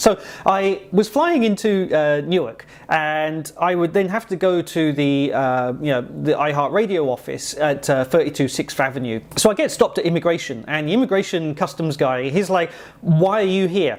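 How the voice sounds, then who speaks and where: A man with an English accent speaks at a high pitch with lively intonation. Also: moderate pace. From England. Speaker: software developer vlogger. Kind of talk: casual vlog storytelling. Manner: conversational with many fillers.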